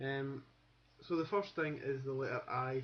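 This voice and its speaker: A man's somewhat breathy, fairly high voice with a Glasgow accent, fairly even intonation and a moderate pace. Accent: Glasgow Scottish. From Scotland, Glasgow. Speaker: accent teacher. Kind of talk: tutorial. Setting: webcam recording. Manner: halting.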